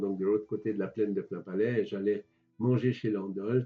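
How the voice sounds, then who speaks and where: A man speaks with fairly even intonation. Music plays in the background. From Switzerland, Geneva. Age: 80s+. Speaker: retired civil servant and local historian. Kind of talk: interview, reminiscing. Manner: hesitant, repeats words.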